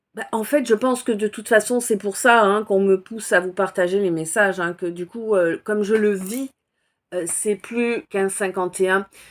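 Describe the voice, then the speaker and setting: Over a silent background in a very clean recording, a woman speaks at a medium pitch and a moderate pace with fairly even intonation. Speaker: spiritual oracle card reader. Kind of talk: casual self-introduction to viewers. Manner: volume varies; hesitant, many fillers.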